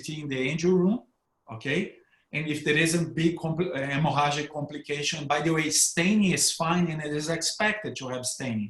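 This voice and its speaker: Speaking with a Brazilian accent, a man moves at a fairly quick pace with a fairly high pitch and ordinary pitch variation. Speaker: neurointerventionalist. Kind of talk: panel discussion. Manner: hesitant with repetitions.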